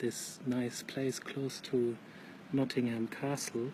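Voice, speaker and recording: Over noticeable background noise, a soft-spoken man talks at a medium pitch with flat, monotone intonation. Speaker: vlogger. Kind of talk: casual live monologue. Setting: outdoors at night near a pub.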